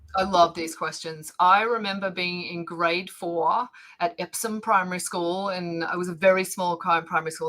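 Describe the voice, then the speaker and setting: The speaker has an Australian accent and barely pauses. Loudness swings widely from moment to moment. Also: woman. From Australia, Victoria (Bendigo). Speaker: planetary scientist and educator. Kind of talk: casual interview. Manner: animated, many fillers.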